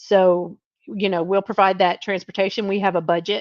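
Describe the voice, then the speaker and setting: With a Southern US accent, a woman talks at a medium pitch and with fairly even intonation, the sound dry and close with no echo over a quiet background. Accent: Southern drawl. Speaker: trucking recruiter. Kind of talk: live stream Q&A. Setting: live video stream. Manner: casual, chatty with fillers.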